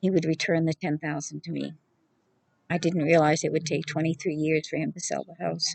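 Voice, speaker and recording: With vocal fry and a very deep, low pitch, a woman speaks at a fairly quick pace in a monotone, flat intonation, the sound dry and close with no echo. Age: 70s. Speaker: homeless retired scientist. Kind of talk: personal appeal to camera.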